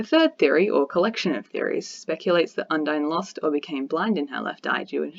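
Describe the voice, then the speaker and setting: At a fairly quick pace, a woman with fairly low pitch speaks with lively intonation. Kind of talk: essay reading.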